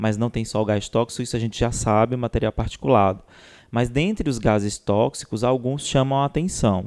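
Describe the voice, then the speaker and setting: With a normal speaking voice at a medium pitch, a man talks at a moderate pace with ordinary pitch variation, in a very clean recording with a silent background and a dry, close sound with no echo. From Ceará, Brazil. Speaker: biomedical scientist and podcast co-host. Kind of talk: casual science chat.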